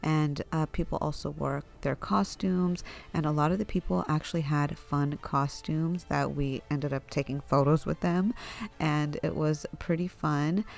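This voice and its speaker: With music playing behind her, a woman talks in a very deep, low pitch with ordinary pitch variation. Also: very even loudness. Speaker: family vlogger. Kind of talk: casual vlog narration. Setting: at home at night.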